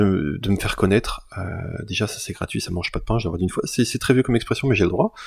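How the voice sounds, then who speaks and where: The man's voice sits fairly low in pitch. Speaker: YouTuber and illustrator. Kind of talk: channel announcement to viewers. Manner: halting, many fillers and repetitions; casual.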